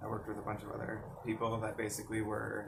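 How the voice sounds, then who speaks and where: At a moderate pace, a man with a fairly low pitch talks with vocal fry. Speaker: mental health vlogger. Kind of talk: personal storytelling. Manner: casual, hesitant.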